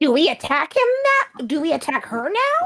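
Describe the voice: This is a put-on character voice at an extremely high pitch. Its pitch swings very widely.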